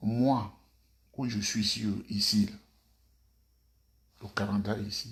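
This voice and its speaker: Soft-spoken and somewhat breathy, a man with a fairly low pitch talks at a very slow pace in a monotone, flat intonation, with long, frequent pauses. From Côte d'Ivoire. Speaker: political commentator. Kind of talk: video monologue. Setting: at home.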